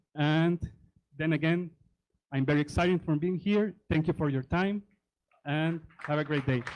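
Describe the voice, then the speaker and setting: A man with a Spanish accent speaks at a fairly high pitch. His loudness stays very even, broken by long, frequent pauses. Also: fairly even intonation, moderate pace. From Honduras. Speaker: tech presenter and operating systems teacher. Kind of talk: conference presentation. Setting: conference stage with audience.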